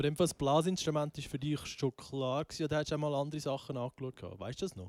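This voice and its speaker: Talking at a very fast pace with hardly any pauses, a man with a fairly high pitch and ordinary pitch variation comes through on a very clean recording with a silent background and a dry, close sound with no echo. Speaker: podcast host. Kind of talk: casual chat. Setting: band rehearsal room.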